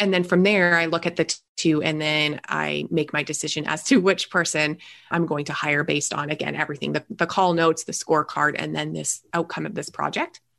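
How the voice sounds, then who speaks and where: In a Canadian accent, a woman talks at a fairly quick pace with a very deep, low pitch. Her intonation is monotone and flat, with vocal fry. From Canada. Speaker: business growth strategist. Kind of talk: interview.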